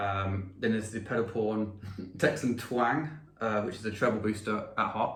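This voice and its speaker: In an English accent, a man with a fairly low voice speaks at a moderate pace, with audible room echo. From England. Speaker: pedal maker and musician. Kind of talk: interview.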